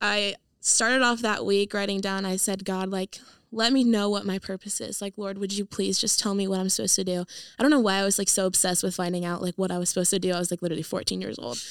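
Very fast speech in an American accent keeps a fairly even intonation. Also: woman, medium pitch for a woman. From US West Coast, San Diego. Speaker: ministry student. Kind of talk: casual chat.

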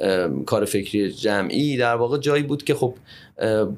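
At a very fast pace, a man talks at medium pitch on a very clean recording with a silent background. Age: 30s. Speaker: translator and writer. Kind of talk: interview. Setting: in-person recording. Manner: halting.

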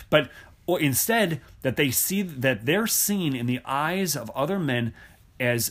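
Using an ordinary speaking voice, a man talks at a moderate pace with lively intonation. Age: 30s. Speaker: author and speaker on theology. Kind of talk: interview.

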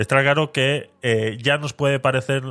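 The recording is very clean with a silent background as a man in an unremarkable speaking voice talks at a moderate pace with ordinary pitch variation. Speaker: podcast host. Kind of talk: casual chat.

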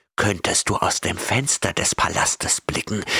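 A man whispers in a put-on character voice with a menacing tone. His words come out hissing. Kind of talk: fantasy horror audiobook reading. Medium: audio drama. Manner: gloating, menacing, lustful whisper.

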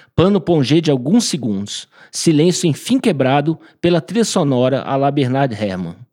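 A man with a fairly high pitch speaks at a moderate pace, his pitch swinging very widely. The recording is very clean, dry, and close, with no echo and a silent background. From Brasília, Brazil. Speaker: author. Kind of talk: reading aloud.

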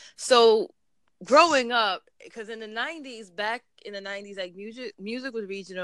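In a New York accent, a woman speaks with a bright, sharp tone. Her pace is moderate, and the recording is very clean with a silent background. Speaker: interviewer. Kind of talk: casual interview chat.

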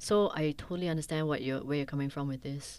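A woman speaks at a very fast pace. Her very deep, low pitch stays on fairly even intonation. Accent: Singaporean. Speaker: podcast host. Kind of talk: interview. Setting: studio.

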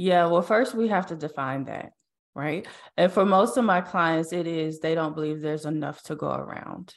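A woman speaks in an ordinary speaking voice at a moderate pace, her fairly low pitch moving with ordinary variation over a quiet background. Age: 40s. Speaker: mindset strategist and podcaster. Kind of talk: interview. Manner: casual, with many fillers.

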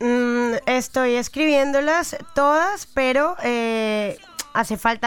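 A woman's high-pitched voice comes through with noticeable background noise. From Colombia, Girardot near Bogotá. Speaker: musician. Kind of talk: interview.

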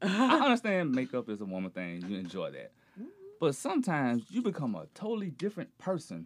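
Speaking very fast with a southern Alabama accent, a man's voice shows big swings in loudness. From rural Alabama, US South. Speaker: podcast guest. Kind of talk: casual chat.

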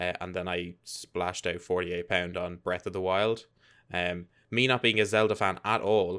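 Speaking at a fairly slow pace, a man with an Irish accent has a very deep, low pitch and a bright, sharp tone, recorded very cleanly against a silent background. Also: fairly even intonation. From Ireland. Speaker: gaming podcast host. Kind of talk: casual chat.

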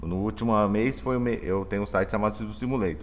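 A man speaks at a fairly low pitch. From Mato Grosso do Sul, Brazil. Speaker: software engineering professor. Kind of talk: casual chat.

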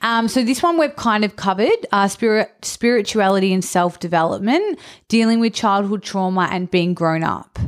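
A woman speaks at a medium pitch and a moderate pace, with ordinary pitch variation and very even loudness, in a normal speaking voice. The recording is very clean, with a silent background. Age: 30s. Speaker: podcast co-host. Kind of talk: casual chat.

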